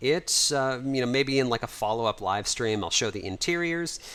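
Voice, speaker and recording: A man speaks with an American accent at a medium pitch. His pitch swings very widely. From United States. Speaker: livestreamer and 3D modeler. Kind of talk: livestream chat and walkthrough. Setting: home livestream. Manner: casual, conversational with fillers.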